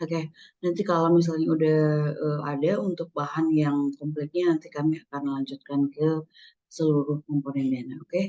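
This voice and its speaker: A woman speaks in a very deep, low pitch with a dark, mellow tone. Her moderate pace and fairly even intonation come through a dry, close sound with no echo. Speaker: scholarship administrator. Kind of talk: webinar presentation. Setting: video call. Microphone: using a different laptop.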